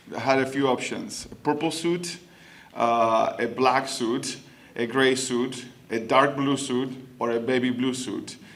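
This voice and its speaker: In a Spanish accent, a man speaks at a fairly slow pace with a medium pitch and fairly even intonation, with audible room echo. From Argentina. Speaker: city council member. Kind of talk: public speech. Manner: halting, many fillers.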